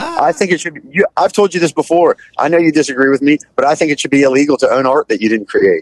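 Over a quiet background and with a dry sound with no echo, a man talks at a very fast pace with hardly any pauses. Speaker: pop punk musician and restaurant owner. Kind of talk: casual chat. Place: car.

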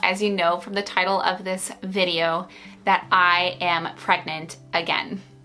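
Faint background music behind a woman's fairly slow speech. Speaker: vlogger. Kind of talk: casual vlog chat. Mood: subdued, hesitant, emotional.

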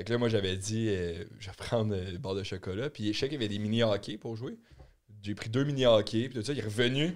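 Over a quiet background, a man talks at a fairly quick pace in a normal speaking voice, fairly low in pitch with ordinary pitch variation. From Quebec. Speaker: podcast co-host. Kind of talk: casual chat. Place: studio. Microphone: studio mic.

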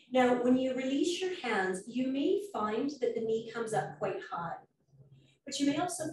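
A woman speaks at a moderate pace with vocal fry. Her tone is calm and soothing. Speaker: yoga teacher. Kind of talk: guided stretch class. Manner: calm, soothing.

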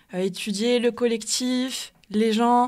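In a very clean recording with a silent background, a woman talks at a fairly high pitch. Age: 20s. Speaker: anti-racism activist and student. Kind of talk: radio panel debate.

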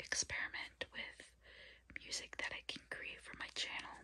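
The speaker, a woman, talks in a whisper. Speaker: ASMR creator and hobbyist keyboard learner. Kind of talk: ASMR ramble to camera. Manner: whispered, soft-spoken, slow. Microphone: phone near.

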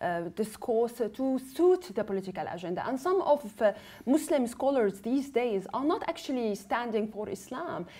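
A woman speaks at a moderate pace in a fairly high pitch. Her voice moves in very wide pitch swings. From Syria. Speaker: activist and filmmaker. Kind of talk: panel discussion. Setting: studio. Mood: serious, concerned. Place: studio. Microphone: lapel.

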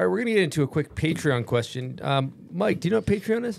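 This man's voice swings very widely in pitch. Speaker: podcast host. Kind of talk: casual chat. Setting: studio. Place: studio. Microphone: studio mic.

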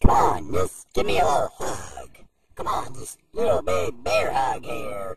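A man uses a raspy, put-on character voice with a menacing tone at a moderate pace.

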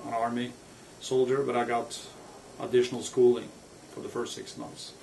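A man speaks at a medium pitch with a Norwegian accent, amid noticeable background noise and audible room echo. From Norway. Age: 50s. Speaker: author. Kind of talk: personal biography monologue.

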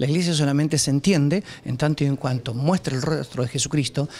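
A somewhat breathy man in a Rioplatense accent, fairly high-pitched, at a fairly quick pace with fairly even intonation, over light background noise. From Argentina, Quequén (Buenos Aires province); Buenos Aires province, Argentina. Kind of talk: news interview. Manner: halting, with fillers and repetitions. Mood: earnest, reflective. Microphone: handheld.

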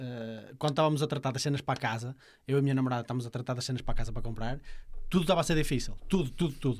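Very rapid male speech with normal rises and falls in pitch. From Portugal. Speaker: podcast host. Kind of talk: casual chat. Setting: studio. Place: studio. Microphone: studio mic.

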